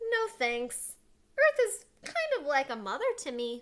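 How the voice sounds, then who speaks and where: A woman puts on a squeaky character voice at an extremely high pitch, moving at a fairly slow pace with very wide pitch swings. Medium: read story.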